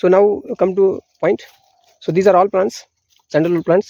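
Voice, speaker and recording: A high-pitched man with an Indian accent, at a moderate pace and with fairly even intonation. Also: dry, close sound with no echo. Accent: Indian (Marathi) English. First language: Marathi. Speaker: farmer. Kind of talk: outdoor farm tour tutorial. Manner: halting.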